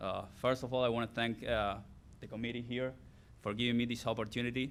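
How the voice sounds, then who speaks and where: Speaking with an Argentine accent, a man keeps a medium pitch and fairly even intonation. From Argentina. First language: Spanish. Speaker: former college athlete, hall of fame inductee. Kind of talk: acceptance speech.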